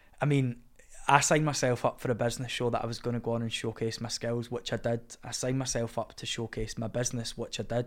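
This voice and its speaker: With a Glaswegian accent, a man speaks very fast at a medium pitch. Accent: Glaswegian Scottish. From Scotland, Glasgow (Cambuslang). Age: 20s. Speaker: theatre school owner and TV reality contestant. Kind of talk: casual interview. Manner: animated.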